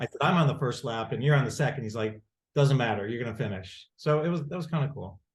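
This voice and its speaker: With an American accent, a man speaks in a medium pitch with ordinary pitch variation and a somewhat breathy voice. The background is quiet. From Rochester, New York. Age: 60s. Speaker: lawyer. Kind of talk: casual chat. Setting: video call. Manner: halting.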